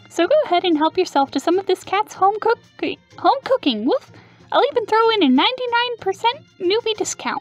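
Faint music plays in the background as a man in a put-on character voice speaks at a moderate pace, his pitch extremely high. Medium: actual play. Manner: brash, goofy, salesy.

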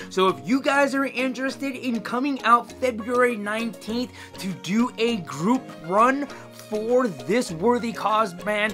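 With clear music playing behind him, a man projects a raised voice at a fairly slow pace, using ordinary pitch variation. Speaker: vlogger promoting a charity run. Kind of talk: casual vlog chat. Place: home room. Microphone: phone near.

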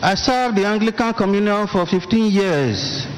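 Amid noticeable background noise, a man with a high pitch speaks at a moderate pace with ordinary pitch variation. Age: 80s+. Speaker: retired Anglican priest. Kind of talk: church testimony.

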